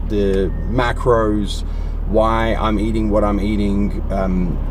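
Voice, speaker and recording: A man's voice amid noticeable background noise. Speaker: fitness vlogger. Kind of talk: casual vlog chat. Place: car. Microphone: phone near.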